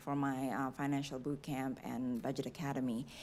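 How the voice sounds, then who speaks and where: A woman's very deep, low voice at a moderate pace. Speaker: city finance director. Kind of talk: public meeting discussion. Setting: city board meeting room.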